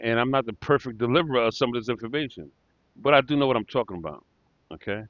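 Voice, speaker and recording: Talking at a very fast pace, a man uses a medium pitch and ordinary pitch variation. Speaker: real estate investor teaching tax deed investing. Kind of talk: tutorial. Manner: halting, many fillers and pauses; casual.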